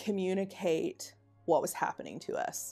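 Faint music plays in the background as a woman with an American accent speaks at a fairly low pitch. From Oklahoma, USA. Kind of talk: documentary interview answer. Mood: earnest, reflective. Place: home room. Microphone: lapel.

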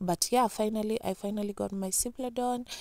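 A woman speaks in a dark, mellow tone. Her pitch variation is ordinary. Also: quiet background, dry sound with no echo. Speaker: vlogger. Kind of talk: casual vlog chat.

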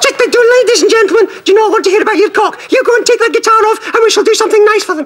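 A man's put-on character voice in an extremely high falsetto, very fast with hardly any pauses, over light background noise. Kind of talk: comic puppet act. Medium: puppet show. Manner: prim, scolding.

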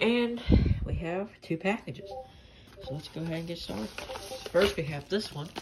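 Loud background noise fills the recording. The speaker goes at a moderate pace. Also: woman. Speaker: radio collector. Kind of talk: casual unboxing vlog chat. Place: home room. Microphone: phone near.

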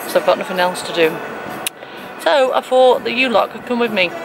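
Over music in the background, a woman talks at a fairly quick pace with ordinary pitch variation, the sound dry with no echo. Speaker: vlogger. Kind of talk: casual vlog chat. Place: car. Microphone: phone near.

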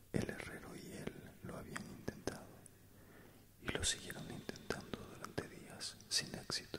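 A man whispering, soft-spoken, at a fairly slow pace. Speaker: storyteller. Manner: soft close-mic whispered reading. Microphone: studio mic.

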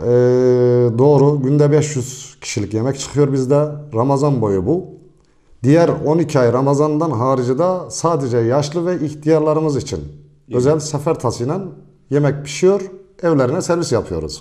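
Over a quiet background, a man speaks at a fairly slow pace in a fairly high pitch, with a dark, mellow tone and ordinary pitch variation. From Niğde, central Anatolia, Turkey; Turkey. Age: 40s. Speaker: village headman. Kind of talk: interview. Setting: headman's office in village. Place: office. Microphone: handheld.

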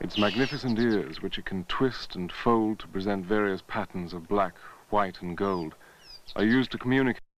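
A man with an ordinary speaking voice talks at a moderate pace. His pitch is fairly low, with ordinary pitch variation. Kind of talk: nature documentary narration. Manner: polished, formal, scripted delivery.

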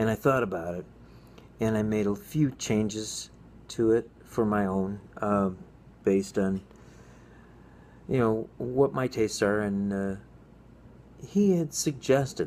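The man's voice sits at a fairly low pitch with a dark, mellow tone. There is light background noise. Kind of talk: casual vlog chat. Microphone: phone near.

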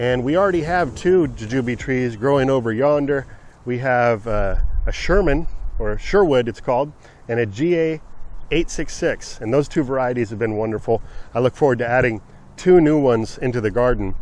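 Recorded as dry sound with no echo, a man talks at a moderate pace. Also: ordinary pitch variation. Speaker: gardening channel host. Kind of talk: casual vlog chat. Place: garden. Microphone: phone near.

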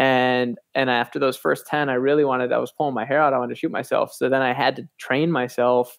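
A man speaks with an American accent at a medium pitch. His pace is very fast. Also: hardly any pauses. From US Midwest, Grand Rapids, Michigan. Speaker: charity platform CEO and co-founder. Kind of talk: interview conversation. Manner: hesitant, many fillers and restarts.

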